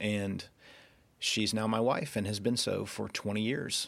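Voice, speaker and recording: On a very clean recording with a silent background, a man talks fairly slowly with fairly even intonation. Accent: slight Southern US. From US South, Georgia (Rome, Floyd County). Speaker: podcast host, founder of a spiritual community. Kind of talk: personal testimony monologue. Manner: casual, with fillers and hesitations.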